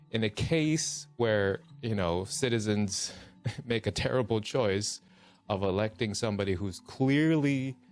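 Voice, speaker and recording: Behind music, a man talks at a fairly slow pace with a fairly low pitch. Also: ordinary pitch variation. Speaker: voice actor. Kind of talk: casual livestream talk.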